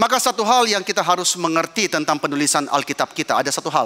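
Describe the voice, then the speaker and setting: Raising and projecting his voice, a man speaks at a very fast pace with very wide pitch swings. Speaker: pastor. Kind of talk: sermon.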